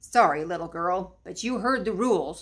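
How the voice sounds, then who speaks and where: A woman's put-on character voice at medium pitch and a moderate pace. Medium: read story. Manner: patient, gentle.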